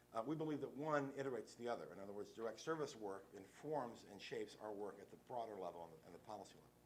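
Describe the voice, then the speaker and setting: The speaker has an American accent and lively intonation at a very fast pace with hardly any pauses. The loudness swings widely. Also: man, medium pitch for a man. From West Virginia. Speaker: lawyer and nonprofit director. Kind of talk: conference talk. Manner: casual, halting with fillers.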